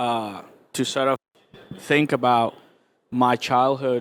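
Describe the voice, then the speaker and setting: Speaking with a Spanish accent, a man uses a medium pitch. His pace is very slow and his intonation monotone and flat. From Cuba. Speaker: visual artist. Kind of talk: onstage interview. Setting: stage with audience at art fair. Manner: hesitant, many fillers.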